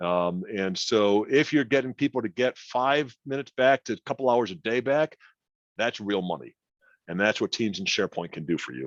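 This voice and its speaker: Over a quiet background, a man talks at a medium pitch. His intonation is lively. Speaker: IT company CEO, presenter. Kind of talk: webinar presentation. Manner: fast.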